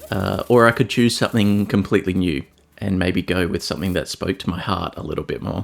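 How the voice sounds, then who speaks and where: With an Australian accent, a man talks at a fairly quick pace in a very deep, low pitch with ordinary pitch variation. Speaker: art YouTuber. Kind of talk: casual video commentary. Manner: casual, with frequent fillers and repeats.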